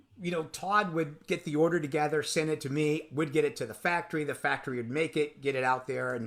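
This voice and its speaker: This man has an unremarkable speaking voice. His pitch sits fairly high and varies in an ordinary way. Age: 60s. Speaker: drum industry veteran and percussionist. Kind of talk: casual interview chat.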